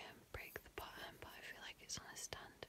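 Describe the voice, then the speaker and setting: Whispering, a woman speaks at a moderate pace. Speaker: ASMR content creator; ASMR creator. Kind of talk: ASMR roleplay talk to camera. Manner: relaxed, casual, playful.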